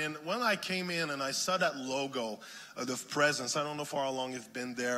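A man with a French Canadian accent and ordinary pitch variation, over noticeable background noise. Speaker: guest minister. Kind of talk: sermon. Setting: church. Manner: animated.

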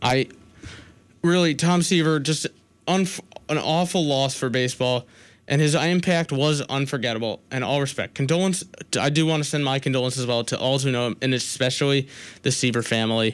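In a normal speaking voice, a man talks fairly quickly at a fairly high pitch with ordinary pitch variation and very even loudness, in a very clean recording with a silent background. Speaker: college radio sports host. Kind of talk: college radio sports talk, opinionated rant then show sign-off. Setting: college radio studio, co-host six feet apart. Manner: heated, rapid, self-interrupting, stumbling over restarts and false starts; indignant, sarcastic, pushing his opinions.

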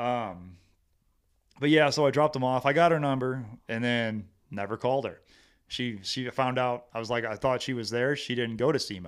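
A man with a Midwestern American accent, medium pitch, ordinary pitch variation and a moderate pace, on a very clean recording with a silent background. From Missouri, Hillsboro near St. Louis. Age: 30s. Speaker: army veteran. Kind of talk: casual interview chat.

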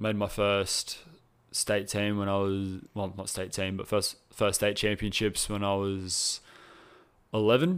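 A man with an Australian accent speaks at a fairly slow pace in a monotone, flat intonation. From Australia, New South Wales (Cronulla). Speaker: personal trainer, former competitive swimmer. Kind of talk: casual interview chat.

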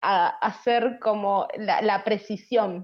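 This woman speaks with a Rioplatense accent. Her pitch is fairly high. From Argentina. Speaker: podcast co-host. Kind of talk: casual interview chat.

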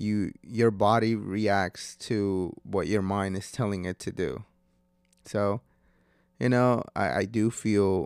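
At a very slow pace, a man with a fairly low pitch speaks in a very clean recording with a silent background. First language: Spanish. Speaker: podcast host. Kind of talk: casual solo monologue. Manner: hesitant, with fillers.

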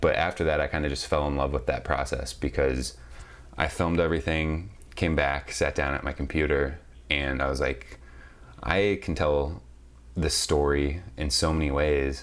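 In an American accent, a man with a very deep, low pitch speaks at a moderate pace with vocal fry and fairly even intonation. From US Midwest, St. Louis, Missouri. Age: 20s. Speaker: photographer and videographer. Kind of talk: interview.

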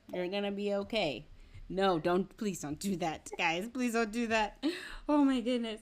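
A woman with an American accent speaks at a fairly slow pace in a medium pitch, her intonation lively, in a plain, everyday voice. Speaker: podcast host. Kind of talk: casual interview chat. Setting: video call.

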